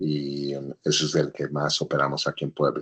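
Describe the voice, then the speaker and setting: A man speaking at a moderate pace. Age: 60s. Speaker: engineer, businessman and teacher. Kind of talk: interview.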